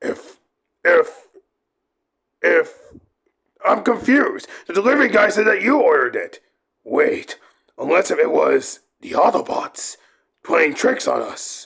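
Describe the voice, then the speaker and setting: A man's put-on character voice at an extremely high pitch, moderate in pace, with long, frequent pauses. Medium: audio drama. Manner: defensive, whiny.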